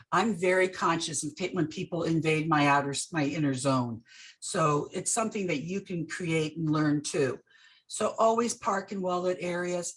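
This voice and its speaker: In an unremarkable speaking voice, a woman with a fairly low pitch talks at a moderate pace with ordinary pitch variation. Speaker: real estate safety speaker, ex-police officer. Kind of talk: presentation. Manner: casual.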